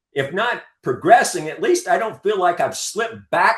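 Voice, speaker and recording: With an American accent, a man talks in an animated tone at a moderate pace. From US South, North Carolina. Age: 60s. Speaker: veteran rock climber and artist. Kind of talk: interview. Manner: halting, with many repetitions.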